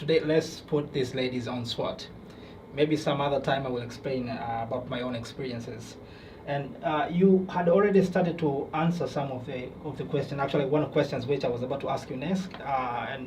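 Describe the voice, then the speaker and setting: A man talks at a fairly quick pace in a fairly high pitch, with ordinary pitch variation. Noticeable background noise and audible room echo fill the recording. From Tanzania. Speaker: podcast host. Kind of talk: podcast interview. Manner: hesitant.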